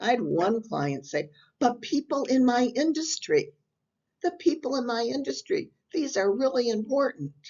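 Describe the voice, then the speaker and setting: A woman's high voice with very wide pitch swings, at a moderate pace. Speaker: business coach. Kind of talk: tutorial.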